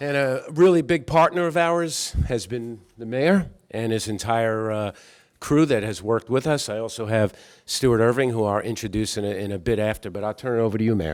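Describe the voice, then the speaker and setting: A man with a New York accent, lively intonation, and a moderate pace. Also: medium pitch for a man. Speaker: company executive. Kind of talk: public remarks at reception. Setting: reception with audience.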